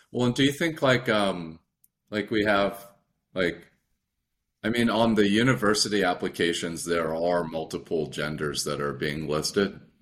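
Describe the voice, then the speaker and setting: A man with a fairly low voice talks at a moderate pace. His intonation is lively. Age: 30s. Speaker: podcast host and student. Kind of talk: casual interview. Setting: video call. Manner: halting, many fillers.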